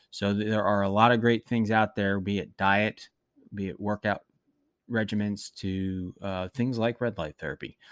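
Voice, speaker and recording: A man speaks in a plain, everyday voice at a fairly low pitch and a moderate pace, with fairly even intonation. The sound is dry and close with no echo, on a very clean recording with a silent background. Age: 40s. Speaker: wellness podcast host. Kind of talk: solo monologue podcast. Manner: frequent filler words and self-corrections.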